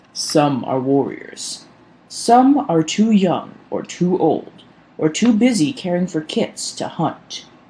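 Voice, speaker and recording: At a middle pitch and a fairly slow pace, the speaker does a put-on character voice. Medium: read story. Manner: stern.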